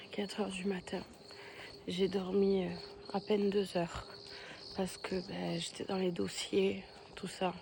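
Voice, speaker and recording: A woman speaks at a very slow pace, with long, frequent pauses and noticeable background noise. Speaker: vlogger. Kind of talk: vlog. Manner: hesitant, many fillers.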